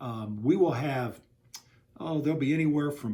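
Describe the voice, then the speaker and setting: A man's somewhat breathy, dark and mellow voice with an American accent, fairly quick in pace, with ordinary pitch variation. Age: 60s. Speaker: newspaper owner. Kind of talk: interview. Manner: halting with many fillers.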